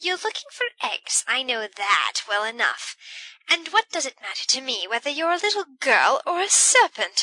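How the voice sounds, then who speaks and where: In a shrill, put-on character voice pitched extremely high, a woman speaks at a moderate pace with very wide pitch swings, the sound dry and close with no echo. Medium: read story. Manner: shrill, aggrieved.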